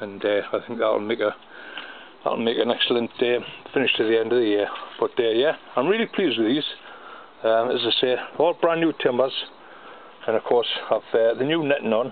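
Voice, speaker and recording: A man at a fairly quick pace, with ordinary pitch variation, very even loudness, and light background noise. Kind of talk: casual vlog chat. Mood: pleased, relaxed. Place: garden. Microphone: phone near.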